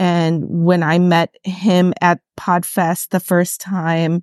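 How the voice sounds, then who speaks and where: Dry, close sound with no echo over a quiet background. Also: woman. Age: 30s. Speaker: new podcaster. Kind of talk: casual chat.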